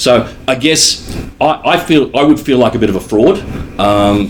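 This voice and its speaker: Noticeable background noise beneath a voice of ordinary pitch variation. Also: man. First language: not English. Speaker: panel moderator. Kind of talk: panel discussion. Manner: halting.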